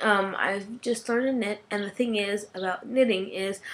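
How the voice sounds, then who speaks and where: Ordinary pitch variation accompanies a fairly slow delivery. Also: woman. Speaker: podcast host. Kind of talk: casual podcast monologue.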